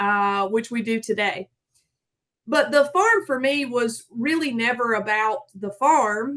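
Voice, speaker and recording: The speaker talks at a fairly slow pace with ordinary pitch variation. They have a strong Southern US accent. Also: woman. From US South, south Georgia. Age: 30s. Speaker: farmer. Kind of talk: conference talk.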